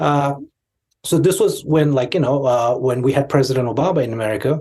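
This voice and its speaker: The man's voice comes across as somewhat breathy. Its tone is dark and mellow. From India, Tibetan exile community in Darjeeling. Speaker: Tibetan commentator, podcast guest. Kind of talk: interview conversation. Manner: halting, many fillers.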